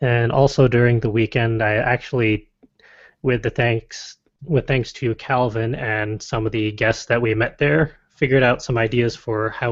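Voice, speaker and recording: In a Connecticut accent, a man speaks with fairly even intonation. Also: quiet background. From Connecticut, US. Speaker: podcast co-host. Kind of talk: casual chat.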